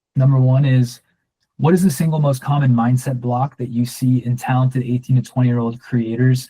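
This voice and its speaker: Somewhat breathy, this man's voice has a dark, mellow tone at medium pitch. He keeps a moderate pace and fairly even intonation. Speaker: short-form video coach. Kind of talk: workshop Q&A. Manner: monotone; casual.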